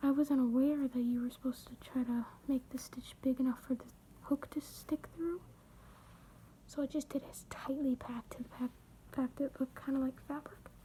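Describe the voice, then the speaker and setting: The voice is quiet. It moves at a moderate pace. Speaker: crochet video creator. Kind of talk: tutorial. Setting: at home late at night. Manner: casual, hesitant.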